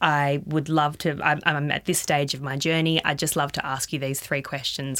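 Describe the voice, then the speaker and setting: Here a woman talks with an Australian accent. Her pitch is very deep and low, and her pace is moderate. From regional Victoria, Australia. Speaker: startup founder and CEO. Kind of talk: interview.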